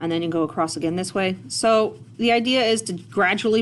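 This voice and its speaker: A woman's voice with vocal fry and lively intonation at a moderate pace. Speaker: art teacher. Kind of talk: tutorial. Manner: casual.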